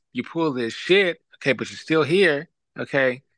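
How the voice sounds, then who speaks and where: A man talks at a moderate pace with ordinary pitch variation, in a dry, close sound with no echo. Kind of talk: casual chat. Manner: animated.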